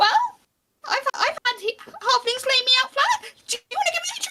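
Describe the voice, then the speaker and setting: A squeaky, put-on character voice from a woman, extremely high in pitch, at a moderate pace. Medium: actual play. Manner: gentle, polite.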